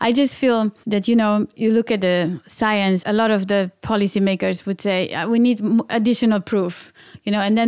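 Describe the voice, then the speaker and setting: Speaking at a fairly quick pace, a woman with a medium-pitched voice keeps her intonation fairly even. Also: very clean recording, silent background. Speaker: environmental director at an outdoor clothing company. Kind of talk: interview. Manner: halting.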